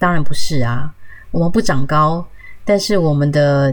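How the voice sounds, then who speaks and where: A woman at a moderate pace, music in the background. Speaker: podcast host. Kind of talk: solo health podcast talk.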